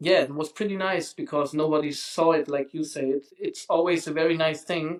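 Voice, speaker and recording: This man has a fairly high pitch and speaks in a monotone with flat intonation. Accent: German. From Germany. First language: German. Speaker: street artist. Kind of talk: interview. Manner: halting.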